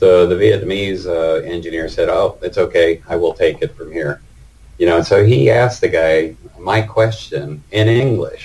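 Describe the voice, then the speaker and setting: With an American accent, a man talks at a moderate pace over noticeable background noise. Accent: typical American. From United States. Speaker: retired engineering manager interviewed about working in Vietnam. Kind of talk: casual interview.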